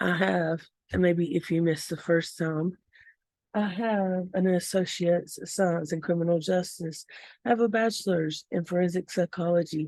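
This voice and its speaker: Against a quiet background, a woman with a Southern US accent speaks at a moderate pace in a fairly low pitch, her tone dark and mellow and her intonation fairly even. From US South. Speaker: vlogger. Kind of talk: casual vlog rant.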